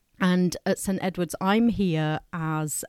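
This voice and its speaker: A woman with an English accent is heard in a very clean recording with a silent background and a dry, close sound with no echo. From England, partly raised in France. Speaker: school pastoral coordinator. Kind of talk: interview.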